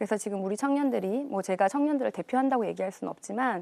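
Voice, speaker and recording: On a very clean recording with a silent background, a woman with a fairly high pitch and a dark, mellow tone speaks with lively intonation. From South Korea, Busan. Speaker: parliamentary candidate, economist. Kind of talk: televised political debate.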